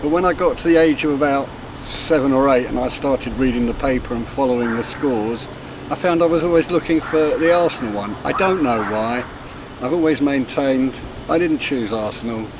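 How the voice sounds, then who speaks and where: A man with a fairly high pitch, a fairly quick pace and ordinary pitch variation, over noticeable background noise. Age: 60s. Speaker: football fan. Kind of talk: casual chat.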